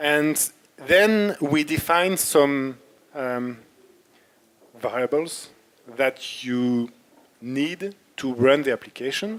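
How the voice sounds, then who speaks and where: Very slowly, with long, frequent pauses, a man speaks in a French accent. His voice is fairly high and shows ordinary pitch variation. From France (Paris). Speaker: software developer and workshop instructor. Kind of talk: technical workshop. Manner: halting, with fillers.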